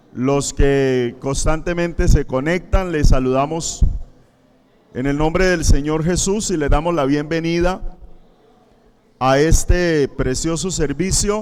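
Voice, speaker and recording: Amid audible room echo, a man with a fairly high pitch speaks at a very slow pace with ordinary pitch variation. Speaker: pastor. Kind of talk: sermon. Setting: church, livestreamed.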